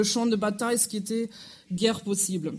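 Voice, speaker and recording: At a moderate pace, the speech comes with a non-native accent. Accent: noticeable foreign accent in French. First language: German (speaking French). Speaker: historian. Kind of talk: lecture. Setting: museum lecture hall with audience. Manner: somewhat halting.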